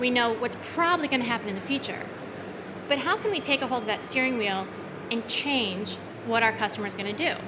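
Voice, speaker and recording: Noticeable background noise and audible room echo, with ordinary pitch variation, a fairly quick pace and long, frequent pauses. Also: woman. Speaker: software company retail director. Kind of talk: conference presentation.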